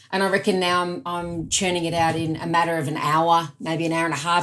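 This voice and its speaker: A woman speaks with an Australian accent. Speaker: productivity expert and author. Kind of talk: podcast interview.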